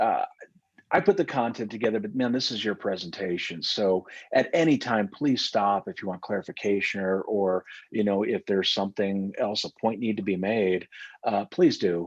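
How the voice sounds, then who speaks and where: A man with a fairly low pitch and ordinary pitch variation is heard in a dry, close sound with no echo. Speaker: security company founder. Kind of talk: webinar presentation. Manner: fast; halting.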